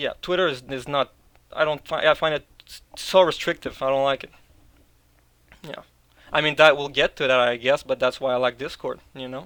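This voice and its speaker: In a Quebec accent, a man talks in a bright, sharp tone with fairly even intonation and long, frequent pauses. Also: moderate pace. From Quebec, Canada. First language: French. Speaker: video producer, discord server member. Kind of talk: interview. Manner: casual, hesitant with repetitions.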